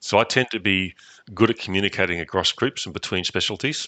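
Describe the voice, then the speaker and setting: With an Australian accent, a man talks at a fairly quick pace in a bright, sharp tone, his fairly low pitch held to a fairly even intonation, the sound dry and close with no echo. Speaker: network engineer. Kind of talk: interview.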